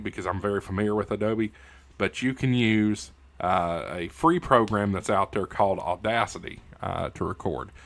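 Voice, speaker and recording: Moderately paced speech from a man with an American accent, very cleanly recorded over a silent background. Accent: hillbilly. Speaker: YouTube host and radio news anchor. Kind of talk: casual YouTube outro. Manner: halting, many fillers. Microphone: good microphone.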